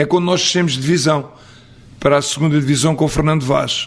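A man with a normal speaking voice, fairly high pitch and ordinary pitch variation. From Portugal, Abrantes area then Coimbra. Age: 60s. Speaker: football coach. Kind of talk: interview. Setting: on location in Coimbra.

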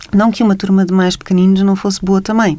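A woman's medium-pitched, dark and mellow voice with a European Portuguese accent, flat and monotone in intonation. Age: 40s. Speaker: writer and journalist. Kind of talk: radio interview.

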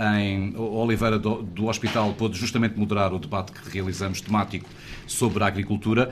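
A man with a normal speaking voice talks at a fairly quick pace, his fairly low pitch carried on fairly even intonation. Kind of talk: live radio broadcast discussion. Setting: on location in a wine cellar.

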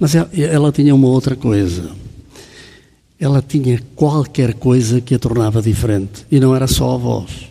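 The man speaks at a moderate pace in a medium pitch. His voice is somewhat breathy, with ordinary pitch variation. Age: 70s. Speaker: banker. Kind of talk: casual chat. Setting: stage with audience.

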